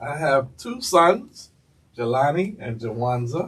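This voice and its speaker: This man speaks with a New York accent. He talks at a very slow pace. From New York City, Lower East Side of Manhattan. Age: 70s. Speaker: city councilman. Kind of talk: interview. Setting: school studio.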